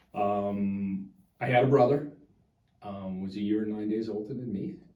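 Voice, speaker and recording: A man's fairly low voice at a moderate pace, with big swings in loudness and audible room echo. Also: ordinary pitch variation. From US South, Chalmette area of New Orleans, Louisiana. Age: 60s. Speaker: local politician. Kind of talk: interview. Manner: halting.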